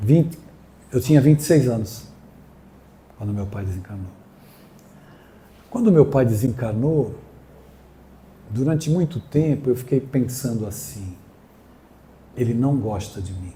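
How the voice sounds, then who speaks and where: A man with a medium pitch and a dark, mellow, somewhat breathy tone speaks at a fairly slow pace, with long, frequent pauses and big swings in loudness. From Brazil, São Paulo coast (Guarujá). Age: 60s. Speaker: spiritist speaker. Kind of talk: inspirational talk.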